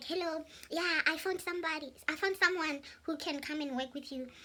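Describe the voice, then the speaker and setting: This is a put-on character voice, high and squeaky. It moves at a moderate pace. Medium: solo performance. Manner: smooth, chatty.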